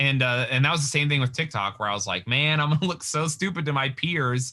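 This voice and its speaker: At a very fast pace, a man with an American accent and a bright, sharp tone talks at a fairly high pitch with ordinary pitch variation, in a very clean recording with a silent background. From Utah. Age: 30s. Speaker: comedian. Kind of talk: casual chat.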